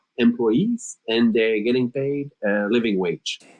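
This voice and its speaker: This man speaks with a French Canadian accent and lively intonation. His pace is moderate. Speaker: startup co-founder, HR executive. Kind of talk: podcast interview. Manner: hesitant, many filler words.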